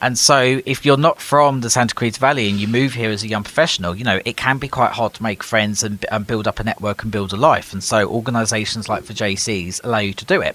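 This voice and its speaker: A man speaks very fast in an English accent, with hardly any pauses. His pitch is medium and moves with ordinary variation. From UK. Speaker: nonprofit organization leader, former city councillor. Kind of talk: podcast interview.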